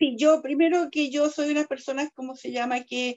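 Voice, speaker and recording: A woman's voice with fairly even intonation. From southern Chile, Osorno. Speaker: lawyer and constitutional convention delegate. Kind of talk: interview.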